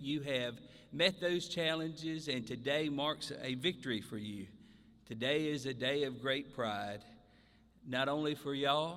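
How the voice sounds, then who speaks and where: With a Southern US accent, a man speaks at a fairly slow pace in a bright, sharp tone, his pitch fairly high with ordinary variation. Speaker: mayor. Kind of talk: ceremony speech.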